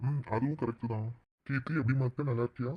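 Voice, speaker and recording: A man puts on a cartoonish character voice at a medium pitch, keeping his intonation fairly even. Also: fairly quick pace, dry, close sound with no echo. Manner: gentle, affectionate.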